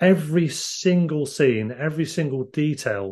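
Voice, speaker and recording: A man talks with ordinary pitch variation and a somewhat breathy sound. The background is quiet. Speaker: film podcast co-host. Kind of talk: casual chat.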